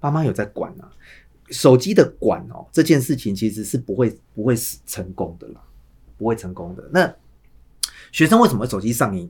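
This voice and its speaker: A man with a Taiwanese accent and medium pitch speaks at a moderate pace, somewhat breathy, with lively intonation. His loudness swings widely, and his pauses are long and frequent. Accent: Taiwanese Mandarin. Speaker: high school English teacher. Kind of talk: casual chat.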